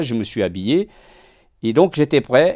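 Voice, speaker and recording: Recorded dry and close with no echo, a man at medium pitch makes very wide pitch swings. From Portugal. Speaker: self-employed worker, hospital patient. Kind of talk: interview testimony. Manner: halting, repeats words.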